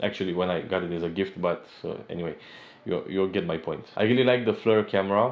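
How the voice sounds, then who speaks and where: A man with a non-native accent, fairly low pitch and ordinary pitch variation, talking at a very fast pace. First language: not English. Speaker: tech reviewer, software engineer. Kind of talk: product review. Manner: slightly halting.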